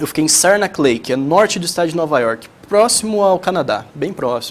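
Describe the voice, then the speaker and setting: Lively intonation colors the high-pitched voice of a man. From Brazil, São Paulo state. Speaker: young entrepreneur. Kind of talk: tv interview. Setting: tv studio. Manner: hesitant, many fillers.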